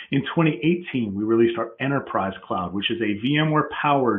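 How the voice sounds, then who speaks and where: Moderate pace and medium pitch in a man's normal speaking voice. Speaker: technology presenter. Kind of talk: technical presentation with live demo. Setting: online webcast.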